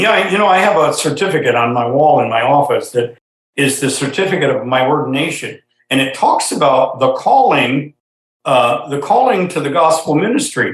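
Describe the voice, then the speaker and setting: Somewhat breathy, a man speaks at a moderate pace with a fairly high pitch and ordinary pitch variation. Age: 70s. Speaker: ministry leader, ordained minister. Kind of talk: interview.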